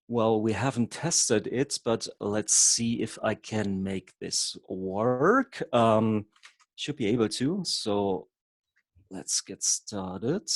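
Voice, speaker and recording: A man at medium pitch with a German accent, very slow pace, ordinary pitch variation, and a dry, close sound with no echo. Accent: German accent speaking English. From Germany. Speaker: hypnotherapist and havening trainer. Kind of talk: online workshop presentation. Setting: video call. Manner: occasionally halting.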